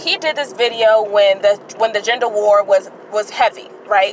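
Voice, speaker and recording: Noticeable background noise sits behind this woman. Her pitch varies in an ordinary way. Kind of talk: casual commentary to camera. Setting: in a car. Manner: stuttering, hesitant.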